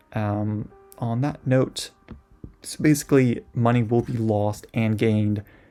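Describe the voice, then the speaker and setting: The man's voice sits at a fairly low pitch with ordinary pitch variation. Music plays in the background. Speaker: Minecraft server owner, YouTuber. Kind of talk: casual video monologue. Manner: rambling, many fillers.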